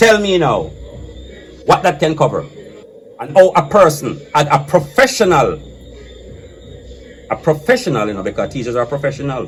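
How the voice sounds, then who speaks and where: A man's fairly high voice with an animated tone and very wide pitch swings, at a moderate pace broken by long, frequent pauses, over music in the background. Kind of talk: casual debate.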